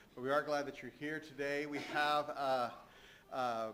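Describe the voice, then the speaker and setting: The voice has a bright, sharp tone and a monotone, flat intonation. It moves at a fairly slow pace, with audible room echo. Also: man. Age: 60s. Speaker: church leader giving announcements. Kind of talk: church announcements. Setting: church. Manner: halting, many fillers.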